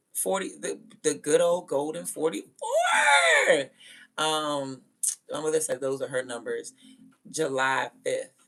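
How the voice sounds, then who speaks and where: Music plays in the background as a woman speaks in an animated tone at a fairly slow pace, with long, frequent pauses. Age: 30s. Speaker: livestreamer. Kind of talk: casual chat.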